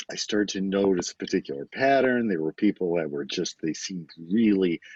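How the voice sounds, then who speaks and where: Talking at a moderate pace, a man uses a very deep, low pitch and lively intonation with an American accent. The sound is dry and close with no echo. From US Midwest, Detroit area, Michigan. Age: 60s. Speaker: novelist. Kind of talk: podcast interview. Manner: hesitant, many fillers.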